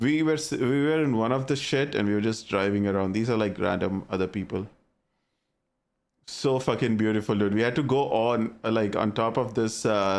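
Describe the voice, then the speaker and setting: A man with a strong Indian accent speaks at a moderate pace in an animated tone, his medium pitch showing ordinary variation. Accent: thick Indian. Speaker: gaming streamer. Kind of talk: casual chat. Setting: live stream.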